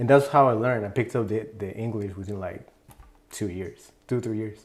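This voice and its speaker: With a Spanish accent, a man talks at a fairly low pitch and a fairly quick pace, using ordinary pitch variation. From Mexico City, moved to California at ten. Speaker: music producer. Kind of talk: interview.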